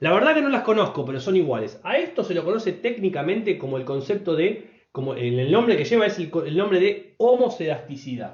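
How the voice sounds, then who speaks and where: This man's voice sits high and swings very widely in pitch. He talks at a fairly quick pace. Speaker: statistics teacher. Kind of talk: lecture. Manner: fast.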